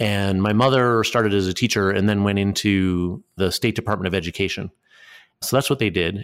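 A normal speaking voice from a man with an American accent, fairly low-pitched, fairly quick, with fairly even intonation, very even loudness, and a very clean recording with a silent background. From Connecticut, US Northeast. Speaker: progressive political organizer and think tank director. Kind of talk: casual conversational interview.

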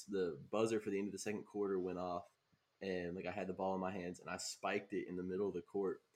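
The delivery is fairly quick. It comes with a Southern US accent. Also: man. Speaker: podcast host. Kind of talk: casual chat.

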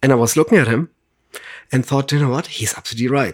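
In a German accent, a man speaks at a very fast pace and a fairly high pitch, on a very clean recording with a silent background and a dry, close sound with no echo. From Germany. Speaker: water sommelier. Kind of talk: casual interview. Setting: home studio in person.

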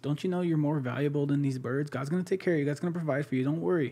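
The man's voice has a dark, mellow tone. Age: 20s. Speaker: ministry leader, guest sharing testimony. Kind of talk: testimony in casual interview.

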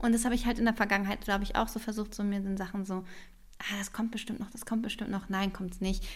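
Very fast and somewhat breathy, a woman speaks at a fairly high pitch with monotone, flat intonation. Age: 30s. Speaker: podcast co-host. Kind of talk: casual chat.

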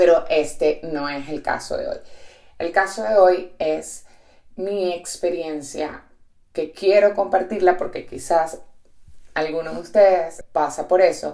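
A woman with a fairly low pitch and a dark, mellow tone speaks at a very slow pace, with fairly even intonation, big swings in loudness, and long, frequent pauses. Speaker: podcast host and entrepreneur. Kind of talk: reflective solo monologue. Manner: direct.

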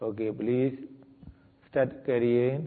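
A man speaks in a calm tone at a very slow pace. His intonation stays fairly even. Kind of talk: guided meditation. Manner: slow, calm, deliberate, giving step-by-step instructions with repeated words.

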